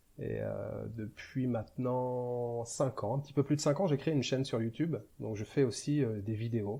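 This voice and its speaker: Against a quiet background, a man speaks at a moderate pace with a somewhat breathy, dark, mellow tone. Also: medium pitch for a man, ordinary pitch variation. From western France, Angers (Maine-et-Loire). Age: 40s. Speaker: travel vlogger. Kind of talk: interview.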